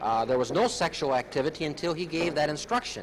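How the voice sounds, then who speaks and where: Noticeable background noise sits behind a man's fairly high voice. He talks at a fairly quick pace with ordinary pitch variation. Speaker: prosecutor. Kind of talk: press statement on a trial.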